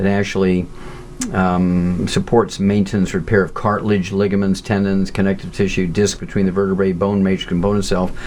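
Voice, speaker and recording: Over noticeable background noise, a man talks in a fairly low, monotone voice with flat intonation. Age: 70s. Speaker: nutritionist and pathologist. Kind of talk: interview. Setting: audio interview.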